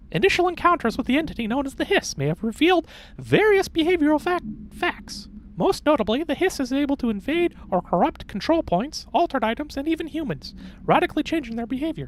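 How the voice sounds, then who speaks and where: A put-on character voice rattles along at a very fast pace and high pitch over clear background noise. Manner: mock-scientific analysis.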